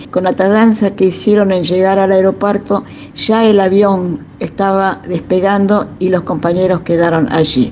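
Against noticeable background noise, a woman of medium pitch speaks at a fairly slow pace with hardly any pauses, very even loudness and fairly even intonation. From Buenos Aires, Argentina. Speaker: former political prisoner and militant. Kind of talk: testimony.

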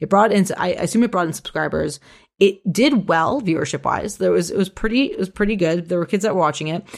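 A woman with vocal fry talks very fast at medium pitch with ordinary pitch variation. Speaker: media analyst and podcast co-host. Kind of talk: casual chat.

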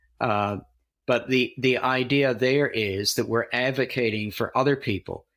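Heard on a very clean recording with a silent background, a man with a normal speaking voice talks at a fairly slow pace and medium pitch, his intonation fairly even and his loudness very even. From Canada, near Toronto. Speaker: pastor and theology teacher. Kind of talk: casual interview chat.

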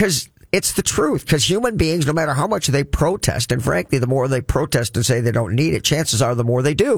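Somewhat breathy, a man talks in an animated tone. His pitch is medium and his pace moderate. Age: 60s. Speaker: financial coach and radio host. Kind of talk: radio talk show monologue. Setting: radio studio.

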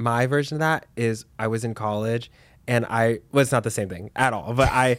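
An ordinary speaking voice at a moderate pace. The intonation stays fairly even. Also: man. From Texas, Dallas. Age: 20s. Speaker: podcast host. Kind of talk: casual chat.

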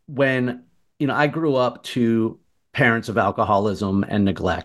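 A man's voice, a plain, everyday voice, sits at a medium pitch with ordinary pitch variation and a moderate pace. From Martha's Vineyard, Massachusetts. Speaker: cancer survivor and obstacle course athlete. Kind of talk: interview.

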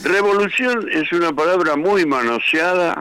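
In a Rioplatense accent, the voice sounds bright and sharp, moving at a fairly slow pace on a very clean recording with a silent background. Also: man. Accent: Rioplatense Spanish (porteño). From Buenos Aires, Argentina. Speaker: rock musician. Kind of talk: interview.

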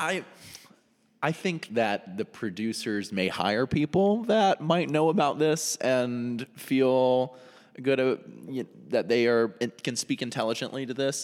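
A man with an American accent speaks in a plain, everyday voice at medium pitch, fairly slowly, with lively intonation. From North Carolina. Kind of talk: casual chat.

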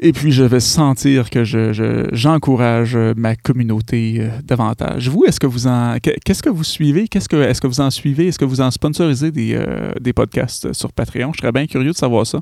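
Ordinary pitch variation and a moderate pace mark this speaker with a Quebec accent, recorded very cleanly against a silent background. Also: man, medium pitch for a man. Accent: Québécois French. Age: 30s. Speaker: podcaster. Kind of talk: solo podcast monologue. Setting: home studio. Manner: hesitant, many fillers.

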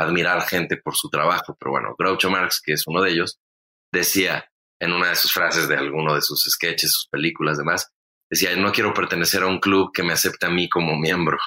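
A man's very deep, low voice with a bright, sharp tone and a Mexican accent, at a very fast pace, dry and close with no echo. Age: 40s. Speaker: comedian and podcast host. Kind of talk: casual chat.

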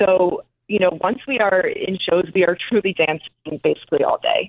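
Delivered at a moderate pace, an ordinary speaking voice comes through with an American accent. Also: woman. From New Jersey, North Caldwell. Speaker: professional dancer. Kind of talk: interview.

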